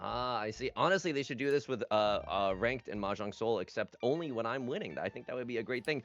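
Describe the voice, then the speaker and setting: Here a man talks at a very fast pace. His pitch is medium, with ordinary pitch variation. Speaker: mahjong commentator. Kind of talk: live commentary. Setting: livestream. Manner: loud; animated. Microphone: too quiet.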